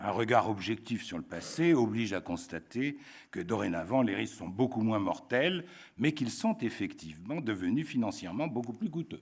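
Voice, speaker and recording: On a very clean recording with a silent background, a man talks at a moderate pace at a medium pitch, with very wide pitch swings. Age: 70s. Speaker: conference speaker on risk. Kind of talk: conference talk. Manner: formal.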